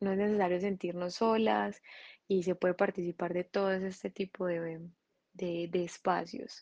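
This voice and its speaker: A woman with a Colombian Paisa accent speaks at medium pitch with fairly even intonation. The sound is dry and close with no echo, over a quiet background. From Colombia, Medellín. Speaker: architect and craft entrepreneur. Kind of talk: interview testimony. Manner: halting.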